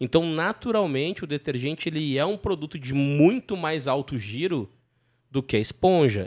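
In a dry, close recording with no echo, a man speaks with lively intonation at a fairly high pitch. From southern Brazil. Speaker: podcast host, company CEO. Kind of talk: casual business interview.

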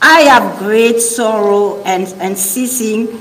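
With a French accent, the speaker talks at a very slow pace amid noticeable background noise. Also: woman. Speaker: preacher. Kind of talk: sermon. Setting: stage with audience.

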